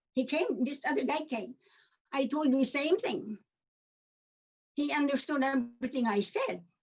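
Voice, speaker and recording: A woman with a Filipino accent speaks in a high voice at a moderate pace. Her intonation is lively, broken by long, frequent pauses. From Philippines. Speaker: community member sharing story. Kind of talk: personal testimony.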